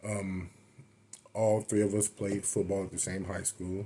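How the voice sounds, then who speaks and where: A man's very deep, low voice with an American accent, at a moderate pace and with fairly even intonation. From Florida (Avon Park). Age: 30s. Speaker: powerlifter. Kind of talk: casual monologue storytelling. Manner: hesitant, many fillers; unscripted, off the cuff.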